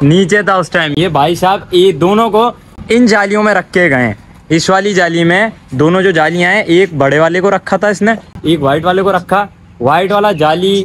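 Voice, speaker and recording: Light background noise sits behind a man who speaks fairly slowly in a high pitch with ordinary pitch variation. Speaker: pet vlogger. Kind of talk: casual vlog chat. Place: open country. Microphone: phone near.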